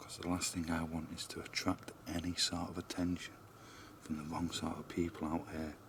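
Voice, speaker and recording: A man whispers with a British accent. Noticeable background noise can be heard. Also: moderate pace. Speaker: paranormal investigator vlogger. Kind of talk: vlog narration. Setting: outdoors. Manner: whispering.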